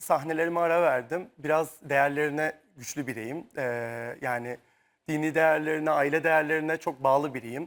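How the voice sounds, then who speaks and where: On a very clean recording with a silent background, a man speaks at a fairly high pitch and a moderate pace. He has an unremarkable speaking voice with ordinary pitch variation. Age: 30s. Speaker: dancer. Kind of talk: talk show interview. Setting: tv studio.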